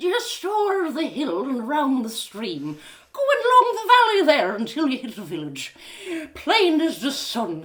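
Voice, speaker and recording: A woman uses a put-on character voice at a moderate pace. Her pitch is high and swings very widely. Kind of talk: live storytelling reading.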